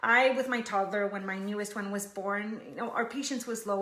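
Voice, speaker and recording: Audible echo from the room hangs around the voice. The words come fairly quickly. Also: woman. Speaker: online group founder and live show host. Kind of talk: live stream talk to audience. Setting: live video stream. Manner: fast.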